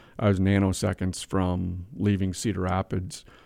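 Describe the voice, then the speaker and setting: A man's fairly low voice with an Upper Midwest accent, flat and monotone, on a very clean recording with a silent background. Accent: Upper Midwest American. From Wisconsin (Whitehall, small town). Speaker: manufacturing company CEO. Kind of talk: interview.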